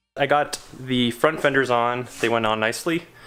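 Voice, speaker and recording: A man speaks with a Canadian accent at a medium pitch. His intonation stays fairly even. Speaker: car DIY video maker. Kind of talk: casual vlog narration.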